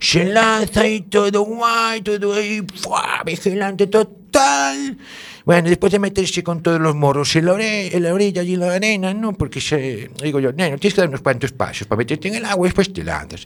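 This man has a high pitch and ordinary pitch variation, talking at a moderate pace with hardly any pauses. Noticeable background noise runs under his voice. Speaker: radio show contributor. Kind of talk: comic casual chat. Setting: radio studio.

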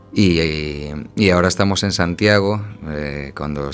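Through noticeable background noise comes a man's very deep, low voice. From A Coruña, Galicia, Spain. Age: 30s. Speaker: circus juggler. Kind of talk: radio interview.

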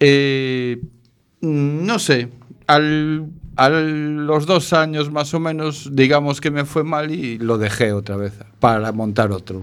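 A man speaks at a very slow pace with a fairly high pitch. His pitch varies in an ordinary way. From Galicia, northern. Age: 50s. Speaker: shelter resident, former taxi driver and cook. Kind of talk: interview. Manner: halting.

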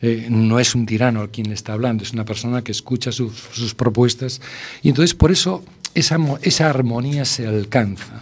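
At a moderate speed, a man is talking. His voice sits at a medium pitch and varies in an ordinary way. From Spain, A Coruña (Galicia). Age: 60s. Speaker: food blogger and university lecturer. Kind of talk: radio interview. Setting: radio studio. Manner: halting, many fillers.

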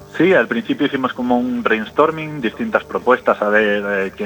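A man speaks at a moderate pace in a medium pitch with ordinary pitch variation, over noticeable background noise. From Galicia, Carballo. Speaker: rock bassist. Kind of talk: radio interview.

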